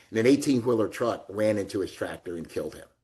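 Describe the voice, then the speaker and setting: The speech moves at a very fast pace. It is delivered with an American accent. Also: man. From US South, Alabama (Florence). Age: 60s. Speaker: real estate executive, retired army colonel. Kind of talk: interview. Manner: conversational, uses fillers.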